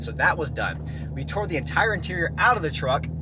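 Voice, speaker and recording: Loud and fast-moving at a fairly quick pace, a man speaks at medium pitch with very wide pitch swings, amid noticeable background noise and audible room echo. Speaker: car DIY vlogger. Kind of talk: casual vlog talk while driving. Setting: in a car.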